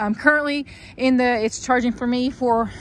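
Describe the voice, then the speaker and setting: Against noticeable background noise, a woman with a Southern accent talks in a high voice with fairly even intonation. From US South. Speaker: car seller. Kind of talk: vehicle walkaround video. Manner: hesitant, many fillers.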